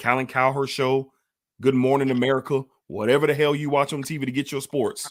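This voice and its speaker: The pace of this man is fairly quick. His voice rests at a medium pitch. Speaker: sports show moderator. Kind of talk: sports talk show. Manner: fast; animated.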